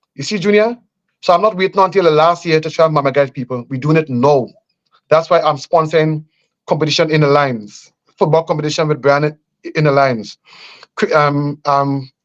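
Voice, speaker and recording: A man with a Grenadian accent and a fairly high pitch talks at a fairly quick pace with ordinary pitch variation, broken by long, frequent pauses. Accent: Grenadian Caribbean English. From Grenada. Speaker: politician. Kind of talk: radio interview. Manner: halting.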